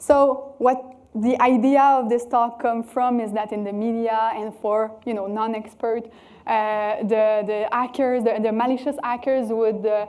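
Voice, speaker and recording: With a fairly high pitch and a dark, mellow tone, a woman speaks at a fairly slow pace in monotone, flat intonation amid audible room echo. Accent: French Canadian. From Quebec City, Canada. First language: French. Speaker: cybersecurity researcher. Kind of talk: conference talk. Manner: hesitant, many fillers.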